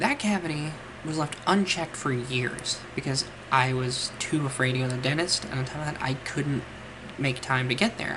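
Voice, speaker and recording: A woman with a very deep, low pitch talks over noticeable background noise. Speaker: mental health vlogger. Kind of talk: casual talk to camera. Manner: stumbles over words at times.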